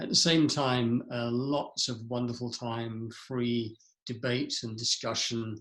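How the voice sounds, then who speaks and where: A man speaks with an English accent. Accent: English (RP-leaning). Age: 70s. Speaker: founder and leadership speaker. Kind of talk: interview. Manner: reflective, with hesitations.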